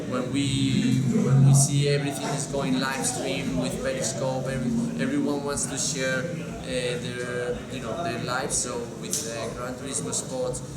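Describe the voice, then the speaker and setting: Against noticeable background noise and audible room echo, a man talks at a fairly slow pace with medium pitch and fairly even intonation. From Spain. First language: Spanish. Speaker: racing driver. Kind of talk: interview. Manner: halting.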